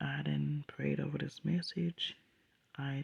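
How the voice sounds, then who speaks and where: Soft-spoken, this voice moves at a fairly slow pace. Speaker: dream sharer. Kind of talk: testimony.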